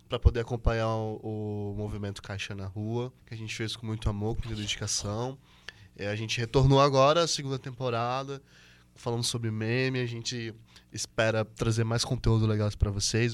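A man talks at a fairly quick pace in an unremarkable speaking voice. His pitch is medium. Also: fairly even intonation. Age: 20s. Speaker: podcast co-host. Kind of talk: casual chat.

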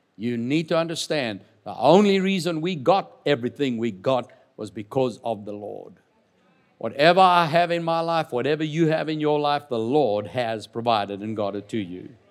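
Lively in intonation and animated in tone, a man with a fairly high pitch speaks at a moderate pace. The recording is very clean, with a silent background. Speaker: preacher. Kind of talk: sermon. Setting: church. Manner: emphatic call-and-response.

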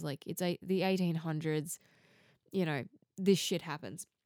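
A woman with an Australian accent at a moderate pace, in a dry, close sound with no echo. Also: very clean recording, silent background. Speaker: true crime podcaster. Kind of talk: scripted-style true crime narration.

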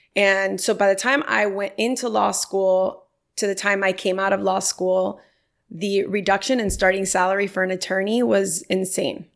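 In an American accent, a woman with a medium pitch uses an ordinary speaking voice, fairly even intonation and very even loudness on a very clean recording with a silent background. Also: moderate pace. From Miami, Florida. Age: 30s. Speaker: lawyer and nonprofit founder. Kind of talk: casual interview chat.

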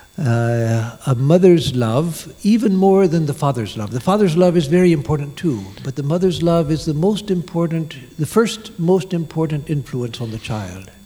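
A man's fairly high voice, lively in intonation and fairly slow, with noticeable background noise. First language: English (speaking French). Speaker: monk giving a lecture. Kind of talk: lecture. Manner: halting.

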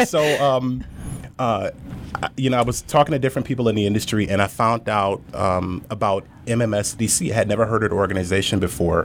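A man with a plain, everyday voice talks at a fairly quick pace in a fairly low pitch. His loudness stays very even, with ordinary pitch variation. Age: 30s. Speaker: business owner. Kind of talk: interview podcast.

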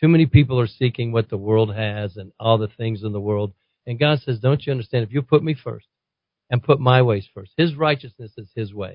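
A man's ordinary speaking voice, medium in pitch, at a fairly quick pace with ordinary pitch variation and big swings in loudness. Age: 60s. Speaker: pastor. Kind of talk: talk radio interview. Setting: radio studio.

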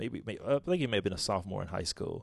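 The background stays quiet. Vocal fry runs through the man's speech. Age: 40s. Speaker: pastor and podcast co-host. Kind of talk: casual chat.

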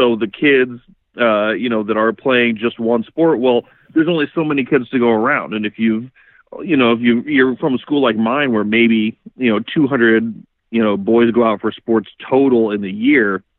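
Here a man speaks in an unremarkable speaking voice at medium pitch. He keeps a moderate pace with ordinary pitch variation. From Iowa, US Midwest. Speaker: former pro football player. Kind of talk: casual chat.

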